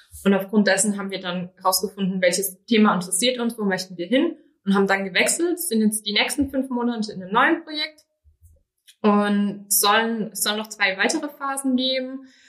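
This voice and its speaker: A woman's medium-pitched, unremarkable speaking voice, fairly quick in pace and lively in intonation. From Rhineland-Palatinate, Germany. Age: 20s. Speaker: business trainee. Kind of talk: interview conversation.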